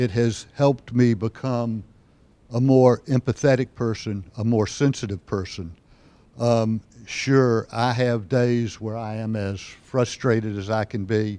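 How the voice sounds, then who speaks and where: A man with a medium pitch and a dark, mellow tone speaks at a fairly slow pace with fairly even intonation. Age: 70s. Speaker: psychiatrist. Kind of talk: personal testimony. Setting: stage with audience. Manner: frequent hesitations.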